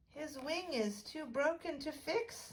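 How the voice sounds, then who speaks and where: In a squeaky put-on character voice, the speaker uses lively intonation at a fairly slow pace. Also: woman, high pitch for a woman. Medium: read story.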